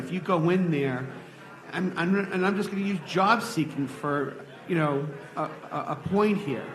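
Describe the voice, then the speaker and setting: Moderate-paced speech with music in the background and audible room echo. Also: man. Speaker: audience member asking questions. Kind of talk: live Q&A discussion. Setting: stage with audience. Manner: loud.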